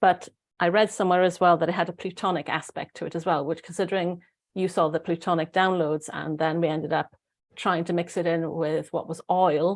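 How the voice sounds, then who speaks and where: In a very clean recording with a silent background, a woman with a Welsh accent speaks at a moderate pace in a monotone, flat intonation and a fairly low pitch. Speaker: spiritual guide. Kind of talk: casual chat. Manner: halting.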